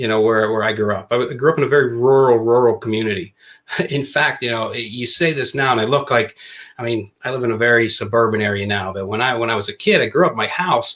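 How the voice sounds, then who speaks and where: Speaking at a fairly quick pace, a man with a medium-pitched voice talks with a slight Pittsburgh accent. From Western Pennsylvania, near Pittsburgh. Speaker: former basketball coach and author. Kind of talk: podcast interview.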